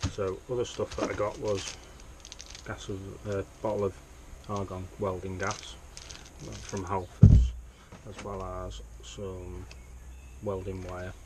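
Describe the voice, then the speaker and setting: Mumbling with a British accent, a man talks at a fairly slow pace in a very deep, low pitch with long, frequent pauses. His loudness swings widely over noticeable background noise. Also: ordinary pitch variation. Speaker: hobby welder, car DIY enthusiast. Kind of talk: casual unboxing talk to camera.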